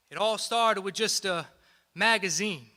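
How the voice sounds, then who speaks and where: In a raised, projected voice with a bright, sharp tone, a man talks at a moderate pace. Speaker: spoken word poet. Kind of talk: live spoken word poetry performance.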